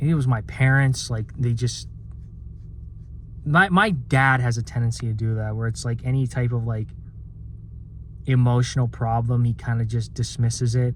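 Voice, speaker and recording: A man speaks at a medium pitch in a somewhat breathy voice with fairly even intonation. He leaves long, frequent pauses. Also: moderate pace. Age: 20s. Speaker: vlogger. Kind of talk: personal vent monologue. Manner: halting, many fillers and repeats.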